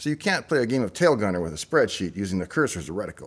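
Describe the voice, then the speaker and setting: Speaking at a very fast pace, a man with a fairly low pitch uses a serious tone and very wide pitch swings. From Saskatchewan, Canada. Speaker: tech YouTuber, former software developer; tech YouTuber. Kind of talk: explainer monologue. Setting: in a parked pickup truck. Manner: tongue-in-cheek, mock-serious. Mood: dry, wry humour. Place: home room. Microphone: studio mic.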